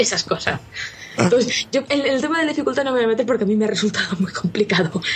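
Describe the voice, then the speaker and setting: A woman speaks very fast with a fairly high pitch and lively intonation. Noticeable background noise runs behind her. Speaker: video game journalist. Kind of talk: casual chat.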